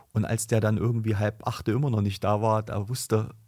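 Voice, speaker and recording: Over a very clean recording with a silent background, a man speaks somewhat breathily at a fairly low pitch with fairly even intonation. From Thuringia, Germany. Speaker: lawyer and politician. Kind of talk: political podcast chat. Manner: hesitant, many fillers.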